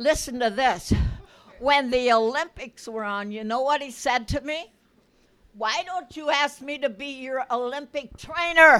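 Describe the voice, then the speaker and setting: A woman speaks in a high, bright, sharp voice with an animated tone and big swings in loudness. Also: ordinary pitch variation, moderate pace. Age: 80s+. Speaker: church member. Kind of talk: testimony.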